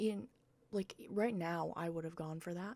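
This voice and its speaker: This woman speaks at a medium pitch. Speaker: gaming youtuber. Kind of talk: gameplay commentary. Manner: casual, hesitant.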